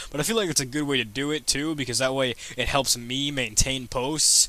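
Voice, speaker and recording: Clear background noise accompanies a man speaking very rapidly. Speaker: coding vlogger. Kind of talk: casual commentary. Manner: fast; animated.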